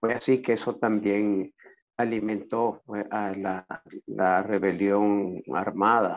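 A man speaks at a fairly low pitch with vocal fry and little pitch movement.

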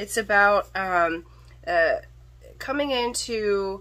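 A woman speaks loudly in a bright, sharp tone. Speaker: tarot reader / psychic. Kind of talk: tarot reading monologue. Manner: hesitant, many fillers. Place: home room. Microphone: phone near.

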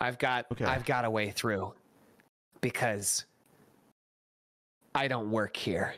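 Using a raspy, put-on character voice, a man speaks at a medium pitch. He goes at a very slow pace with long, frequent pauses. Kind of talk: comic overacting. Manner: dramatic, intense, shouting.

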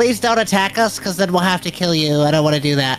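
Very fast speech at a middle pitch, with clear background noise. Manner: nervous, pleading.

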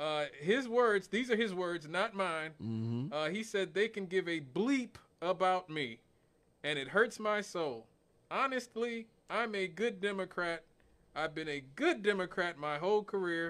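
Here a man speaks with lively intonation. His pace is fairly slow. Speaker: radio talk show host. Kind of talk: talk radio commentary. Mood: amused, lightly joking. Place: studio. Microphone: studio mic.

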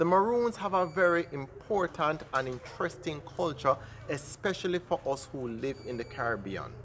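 Over light background noise, a man with a Jamaican accent talks at a moderate pace in a fairly high voice with lively intonation. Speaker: travel vlogger. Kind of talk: travel vlog interview. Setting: outdoors at a community yard. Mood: friendly, upbeat. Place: open country.

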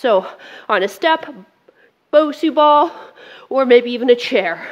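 Against a quiet background, the delivery proceeds at a fairly slow pace. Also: woman. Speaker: fitness instructor. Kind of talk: workout class instruction. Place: studio.

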